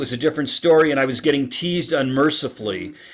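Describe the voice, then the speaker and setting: In an ordinary speaking voice, a man talks at a fairly quick pace and a fairly high pitch with ordinary pitch variation, on a very clean recording with a silent background. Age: 60s. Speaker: relationship author guest. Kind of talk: podcast interview.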